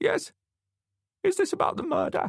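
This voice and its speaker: A man performs a put-on character voice at an extremely high pitch. His pace is moderate. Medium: read story. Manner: suspicious, querulous.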